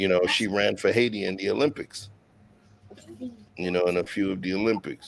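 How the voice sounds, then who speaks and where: A man with a New York accent speaks in a fairly low pitch. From Brooklyn, New York. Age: 40s. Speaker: chef and show host. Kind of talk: casual interview chat.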